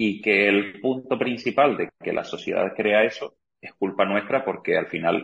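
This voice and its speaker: A man with a slight Argentine accent, at a moderate pace. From Argentina. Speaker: real estate agent. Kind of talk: interview.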